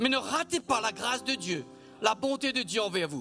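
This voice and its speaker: A man's raised, projected voice at a moderate pace, with music in the background. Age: 60s. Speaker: church leader. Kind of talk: worship exhortation. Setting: church service streamed online.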